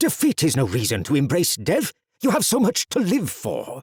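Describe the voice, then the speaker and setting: A growling, put-on character voice from a man, high-pitched for a man, with very wide pitch swings, a moderate pace and a dry, close sound with no echo. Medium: read story. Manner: earnest, dramatic.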